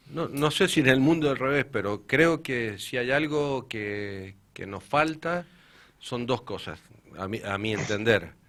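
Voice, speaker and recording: A man's medium-pitched voice with an Argentine accent, very wide pitch swings, and a very clean recording over a silent background. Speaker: municipal sports director. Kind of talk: radio interview.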